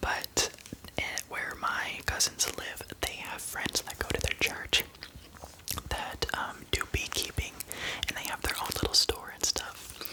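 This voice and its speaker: Amid noticeable background noise, a man whispers fairly slowly. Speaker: ASMR creator. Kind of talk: ASMR whisper ramble to camera. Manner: whispered, intimate, soft-spoken.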